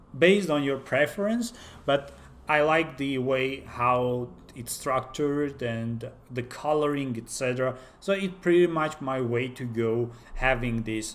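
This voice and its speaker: A man with a non-native accent talks at a fairly slow pace. His pitch is medium, with ordinary variation. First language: not English. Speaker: software developer, tech YouTuber. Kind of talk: tutorial. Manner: halting, many fillers.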